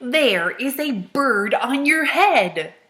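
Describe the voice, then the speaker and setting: A woman in a put-on character voice, high-pitched, with very wide pitch swings. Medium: read story. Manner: bright, calm, cheery.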